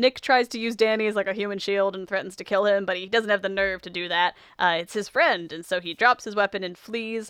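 Dry and close with no echo, the voice moves at a fairly quick pace with fairly even intonation. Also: woman, medium pitch for a woman. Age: young. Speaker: podcast host. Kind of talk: casual chat; plot recap. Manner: loud.

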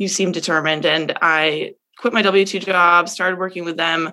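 In an American accent, a woman with an unremarkable speaking voice talks at a fairly low pitch with fairly even intonation. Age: 20s. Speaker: multifamily real estate professional. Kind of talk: interview. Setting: video call.

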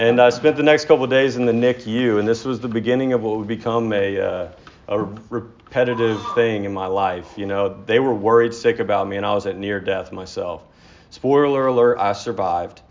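Here is a normal speaking voice. A man talks at medium pitch and a moderate pace, with ordinary pitch variation. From Texas, Dallas area. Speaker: AA speaker. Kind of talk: recovery testimony.

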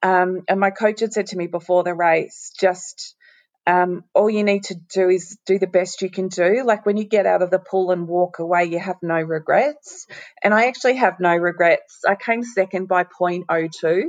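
A woman at a medium pitch with an Australian accent, moderate pace, and fairly even intonation. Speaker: former champion swimmer. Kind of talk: casual interview. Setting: at home, remote call.

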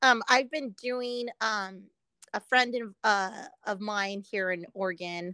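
In a very clean recording with a silent background and a dry, close sound with no echo, a woman with an American accent speaks very slowly at a medium pitch, her tone bright and sharp and her pitch variation ordinary. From Southern California, Pomona. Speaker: painter. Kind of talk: casual chat.

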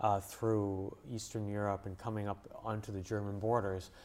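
An unremarkable speaking voice with a Canadian accent moves at a moderate pace. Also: man. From Canada, English-speaking Montreal. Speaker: journalist and author. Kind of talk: interview. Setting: studio.

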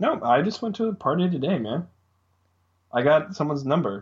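A man talks at a moderate pace in a somewhat breathy voice. His pitch swings very widely. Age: 20s. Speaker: podcast guest. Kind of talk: casual chat. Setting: video call.

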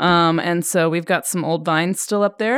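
A plain, everyday voice, this woman speaks with an American accent at a moderate pace and a fairly low pitch with ordinary pitch variation, recorded very cleanly against a silent background in a dry, close sound with no echo. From Oregon, US. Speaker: winemaker. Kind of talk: casual chat. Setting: studio.

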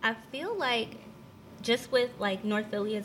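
Against noticeable background noise, a woman with an American accent speaks with ordinary pitch variation. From northern New Jersey. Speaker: CBD oil seller. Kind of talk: casual chat.

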